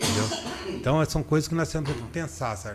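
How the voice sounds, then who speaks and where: A man speaks with a somewhat breathy voice and ordinary pitch variation. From Brazil, Limeira (São Paulo state). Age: 60s. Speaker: political candidate. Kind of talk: interview.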